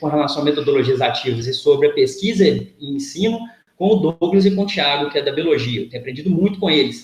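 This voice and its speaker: Amid audible room echo, a high-pitched man talks at a very fast pace. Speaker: physics professor. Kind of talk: lecture. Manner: hesitant, repeats words.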